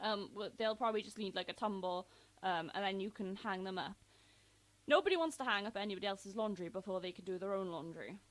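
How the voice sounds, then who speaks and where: A woman with an English accent speaks at a very fast pace. Her medium-pitched voice has ordinary pitch variation. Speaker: YouTuber. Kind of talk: casual vlog countdown. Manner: hesitant, many fillers.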